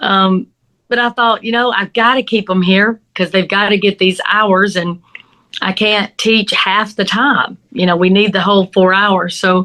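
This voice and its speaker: With a Southern US accent, a woman speaks at a fairly slow pace and medium pitch. Her tone is bright and sharp, and her intonation fairly even. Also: very even loudness. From US South. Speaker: crime scene investigator and instructor. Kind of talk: interview.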